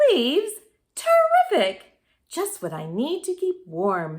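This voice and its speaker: A woman does a put-on character voice, squeaky and extremely high-pitched, raised and projected, moving at a fairly slow pace. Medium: read story. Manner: snuffling.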